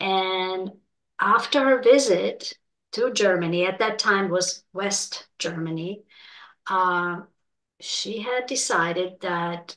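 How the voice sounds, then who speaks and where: Speaking very slowly, a woman lets her pitch rise and fall in a normal way. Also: medium pitch for a woman. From Czechoslovakia. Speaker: interview guest. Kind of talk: interview. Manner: hesitant, with fillers.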